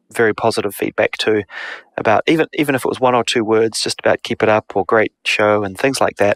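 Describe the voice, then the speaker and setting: A man with a New Zealand accent speaks at a moderate pace, the sound dry and close with no echo. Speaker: podcast co-host. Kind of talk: casual chat.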